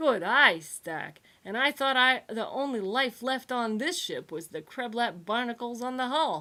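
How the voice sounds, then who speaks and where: Using a put-on character voice with a cheerful tone, a woman speaks at a high pitch and moderate pace with hardly any pauses. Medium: read story. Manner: cheerful, brash.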